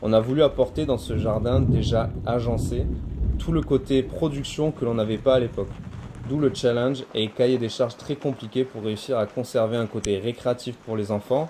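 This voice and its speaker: Speaking at a moderate pace, a man has a medium pitch and fairly even intonation. Noticeable background noise is present. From southern France, Montpellier area. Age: 30s. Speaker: butcher and homesteading video maker. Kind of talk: casual video self-presentation. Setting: outdoors in his garden. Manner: hesitant, many fillers.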